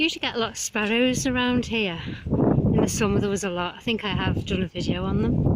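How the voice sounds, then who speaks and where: A woman's medium-pitched voice at a very fast pace, very even in loudness with ordinary pitch variation, against noticeable background noise. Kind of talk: casual talk to camera while walking. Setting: outdoors, windy.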